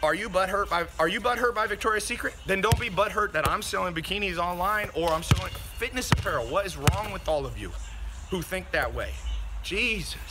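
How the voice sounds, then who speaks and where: With music in the background, a man talks at a fairly quick pace broken by long, frequent pauses. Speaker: podcast host. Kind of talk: angry rant. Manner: loud, fired-up, indignant; fast, profane, punchy and repetitive.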